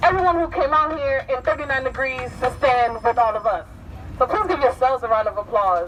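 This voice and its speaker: Moderately paced, high-pitched speech from a woman, with ordinary pitch variation amid noticeable background noise. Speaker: rally emcee. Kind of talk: rally speech. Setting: outdoors. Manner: animated.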